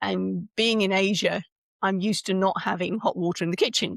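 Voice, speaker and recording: Speaking at a moderate pace with a British accent, a woman has a medium-pitched voice, captured on a very clean recording with a silent background and a dry, close sound with no echo. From UK. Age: 60s. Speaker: speaker coach and author. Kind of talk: podcast interview. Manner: halting, many restarts.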